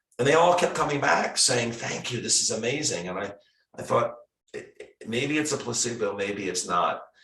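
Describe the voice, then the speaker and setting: Audible echo of the room around a man speaking fairly high in his range. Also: lively intonation, moderate pace. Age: 60s. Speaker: retired foot surgeon. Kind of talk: interview. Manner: halting, with frequent repetitions.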